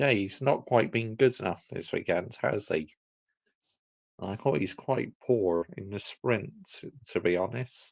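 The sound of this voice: At a fairly slow pace, a man speaks in a fairly low, slightly mellow voice with vocal fry and ordinary pitch variation.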